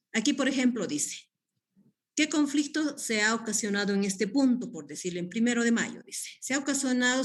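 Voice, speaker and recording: In a room with audible echo, a woman with a somewhat breathy voice speaks at a moderate pace with lively intonation. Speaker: guest lecturer on community development. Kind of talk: online class lecture. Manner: hesitant, many fillers.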